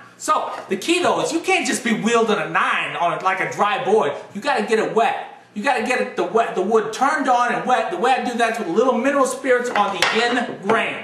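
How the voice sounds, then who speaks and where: An enthusiastic, raised and projected male voice, extremely high pitch, lively intonation, fairly quick pace, noticeable background noise. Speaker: woodworker and woodworking video host. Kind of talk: parody infomercial hard sell pitch. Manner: fast, loud, enthusiastic salesman patter.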